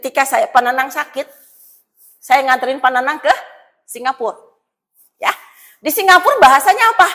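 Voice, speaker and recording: A high-pitched woman with a West Javanese accent, animated tone, bright and sharp, in a raised, projected voice at a fairly quick pace with long, frequent pauses. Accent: Sundanese. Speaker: pastor. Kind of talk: sermon. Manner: animated, colloquial.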